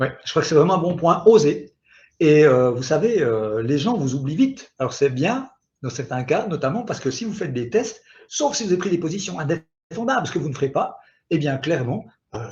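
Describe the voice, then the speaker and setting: Pitch swings very widely throughout. The pace is moderate. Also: man. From Switzerland. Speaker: digital marketing expert. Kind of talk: webinar presentation. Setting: online webinar. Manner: animated.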